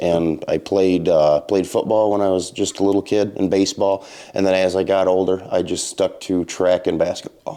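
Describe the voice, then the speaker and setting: A man with an Upper Midwest accent, a very deep, low pitch and a dark, mellow tone, monotone and flat, at a moderate pace with hardly any pauses and very even loudness, on a very clean recording with a silent background. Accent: Upper Midwest American. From Michigan, Montcalm County. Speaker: maple syrup producer. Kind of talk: interview. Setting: sugar shack.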